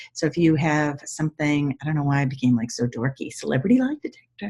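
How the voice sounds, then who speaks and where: With a dark, mellow tone and a somewhat breathy quality, a woman's very deep, low voice moves at a very fast pace with lively intonation. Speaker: body language expert. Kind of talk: tutorial. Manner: intense.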